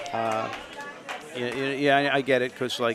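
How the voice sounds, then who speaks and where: Against noticeable background noise, a man with a New York accent speaks at medium pitch in a monotone, flat intonation. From Long Island, New York. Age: 60s. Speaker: amateur bocce player. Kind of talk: casual interview.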